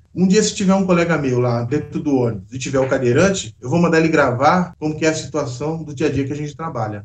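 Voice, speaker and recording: Against noticeable background noise, a man with a fairly high pitch talks at a very fast pace. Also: ordinary pitch variation. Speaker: bus driver. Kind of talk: interview answer. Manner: casual, conversational.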